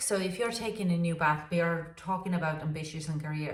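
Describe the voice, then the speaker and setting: A woman with a non-native accent and a fairly low pitch speaks with fairly even intonation, with noticeable background noise and audible room echo. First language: not English. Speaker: tarot reader. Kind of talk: tarot reading. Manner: halting, many fillers.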